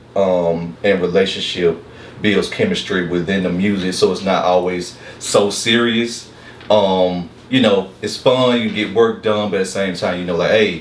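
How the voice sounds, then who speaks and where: At a moderate pace, a man talks in a fairly low pitch with fairly even intonation, over noticeable background noise and audible room echo. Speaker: music producer. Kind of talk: casual interview.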